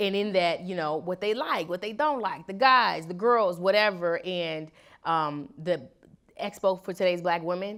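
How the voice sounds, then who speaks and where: A woman with a normal speaking voice and an American accent talks at a moderate pace and fairly low pitch, with ordinary pitch variation, on a very clean recording with a silent background. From Chicago. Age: 20s. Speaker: activist and educator. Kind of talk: interview.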